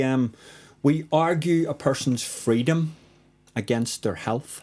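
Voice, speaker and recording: A man with a Northern Irish accent speaks at a fairly slow pace in a dark, mellow tone, with ordinary pitch variation, on a very clean recording against a silent background. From Northern Ireland. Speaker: spoken word poet. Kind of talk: casual interview chat with poetry reading. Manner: confident.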